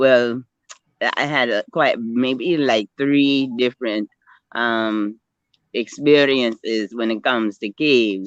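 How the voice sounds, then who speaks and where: Very slowly and with fairly even intonation, a woman speaks in a very deep, low pitch, the sound dry and close with no echo. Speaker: spiritual speaker. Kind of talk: interview. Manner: halting, many fillers.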